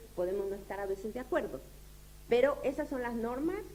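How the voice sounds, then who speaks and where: In a room with audible echo, a woman with a dark, mellow tone speaks at a moderate pace with very wide pitch swings. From Uruguay. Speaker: lecturer. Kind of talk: lecture. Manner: halting, many fillers.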